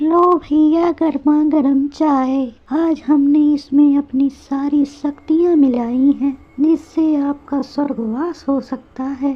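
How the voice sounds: A woman uses a cartoonish character voice. It is high-pitched and very slow.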